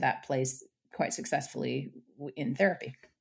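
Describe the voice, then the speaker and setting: A woman's very deep, low voice with vocal fry and an American accent. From British American, dual citizen. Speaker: psychotherapist. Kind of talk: interview. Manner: hesitant, many fillers.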